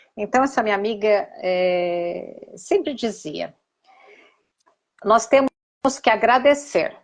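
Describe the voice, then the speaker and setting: A woman speaks very slowly, with long and frequent pauses. Her fairly high voice has lively intonation. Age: 60s. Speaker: therapist. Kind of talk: live stream conversation. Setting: Instagram live. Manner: halting.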